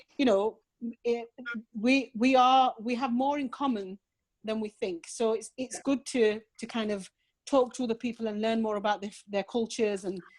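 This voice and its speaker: A woman speaks with a Yorkshire accent and fairly even intonation. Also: moderate pace. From northern England, Rotherham, South Yorkshire. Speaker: charity worker and volunteer chaplain. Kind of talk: casual chat.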